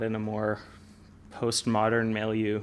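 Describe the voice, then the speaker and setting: A man with a medium-pitched voice. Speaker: podcast host. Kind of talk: interview. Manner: slow.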